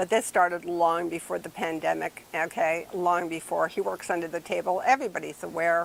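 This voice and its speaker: Speaking at a fairly quick pace, a woman uses a fairly low pitch with ordinary variation and vocal fry. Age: 60s. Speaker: small landlord. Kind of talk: interview. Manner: animated.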